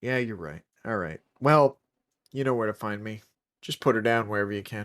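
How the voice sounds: Putting on a nasal character voice, a man speaks at a fairly quick pace and a medium pitch.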